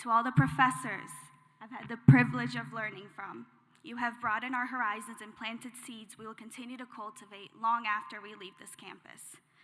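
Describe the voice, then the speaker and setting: Over noticeable background noise, a woman with a fairly high pitch talks at a fairly quick pace, with lively intonation and big swings in loudness. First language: not English. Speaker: graduating student speaker. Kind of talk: commencement speech.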